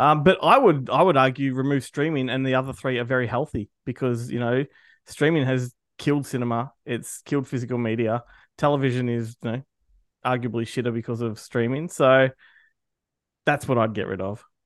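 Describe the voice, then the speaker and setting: Fairly quick speech from a man with an ordinary speaking voice, medium pitch and fairly even intonation. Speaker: podcast co-host. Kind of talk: casual chat.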